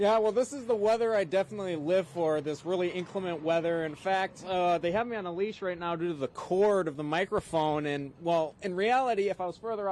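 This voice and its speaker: Over noticeable background noise, a man with an American accent speaks at a fairly quick pace in a high pitch, with ordinary pitch variation. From Minnesota. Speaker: broadcast meteorologist. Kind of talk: TV weather forecast.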